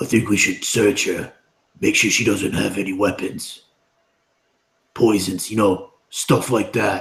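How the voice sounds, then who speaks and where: Putting on a character voice, a man speaks raspy and fairly low-pitched at a fairly slow pace, with long, frequent pauses. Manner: quiet, hushed.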